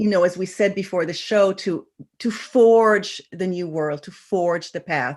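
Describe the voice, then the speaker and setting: Against a quiet background, a woman with an unremarkable speaking voice talks at a fairly slow pace and medium pitch, with ordinary pitch variation and big swings in loudness. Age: 60s. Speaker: intuition teacher. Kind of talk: interview. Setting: online radio show.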